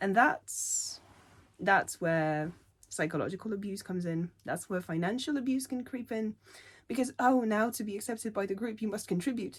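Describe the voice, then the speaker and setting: Somewhat breathy, a woman speaks at a fairly high pitch with lively intonation. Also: moderate pace, very clean recording, silent background. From Poland. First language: not English. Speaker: linguistics doctoral student. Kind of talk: unscripted opinion rant to camera.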